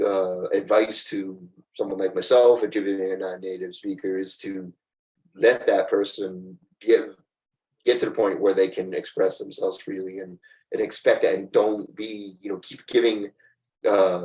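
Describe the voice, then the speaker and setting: A man talks at a moderate pace. His loudness swings a lot. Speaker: recruiter. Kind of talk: casual chat.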